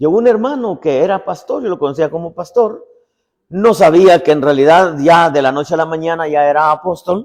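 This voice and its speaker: A man's voice, high in pitch, with ordinary pitch variation and a moderate speed. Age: 60s. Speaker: apostle and preacher. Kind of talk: sermon. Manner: conversational, repetitive storytelling.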